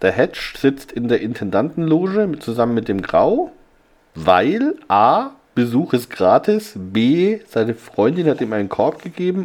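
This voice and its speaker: The man's pitch swings very widely as he talks at a fairly slow pace. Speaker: podcast host. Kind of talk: casual chat. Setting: hotel room.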